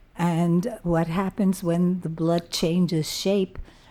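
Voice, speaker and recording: At a very slow pace, a woman speaks with a fairly low pitch and a dark, mellow tone in monotone, flat intonation. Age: 80s+. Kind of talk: interview answer, reminiscing. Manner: hesitant, many fillers.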